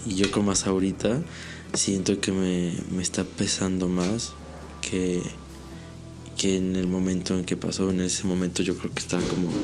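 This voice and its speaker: A man's very deep, low voice at a moderate pace, monotone and flat, with long, frequent pauses and music in the background. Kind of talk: interview answer about personal trauma, casual talk. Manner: hesitant, halting, with many filler repetitions.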